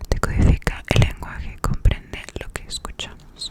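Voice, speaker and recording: A woman is whispering at a fairly slow pace. There is noticeable background noise. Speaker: ASMR creator. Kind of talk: whispered study session / reading notes. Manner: whispered, soft-spoken, close to the microphone.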